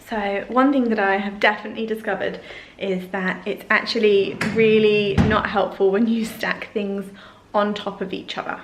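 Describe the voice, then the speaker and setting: Speaking in an English accent at a moderate pace, the voice stays monotone and flat, with audible room echo and noticeable background noise. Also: woman, medium pitch for a woman. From England. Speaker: lifestyle vlogger. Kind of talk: casual tutorial vlog. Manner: chatty, informal.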